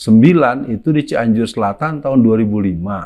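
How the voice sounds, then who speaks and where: At a moderate pace over a quiet background, a man talks at medium pitch with ordinary pitch variation in a plain, everyday voice. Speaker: preacher and anti-communist speaker. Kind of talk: religious and political lecture in interview format. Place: home room. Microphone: lapel.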